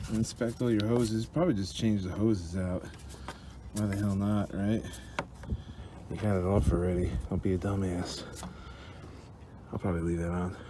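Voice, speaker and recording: Against noticeable background noise, a man talks at a moderate pace. His pitch is fairly low, and he leaves long, frequent pauses. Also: ordinary pitch variation. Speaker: DIY truck mechanic. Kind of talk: tutorial. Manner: casual, profane.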